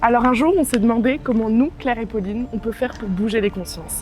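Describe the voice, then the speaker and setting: With music in the background, a woman speaks at a fairly high pitch and a fairly quick pace. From France, Bordeaux. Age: 20s. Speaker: dog café founder. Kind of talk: crowdfunding pitch.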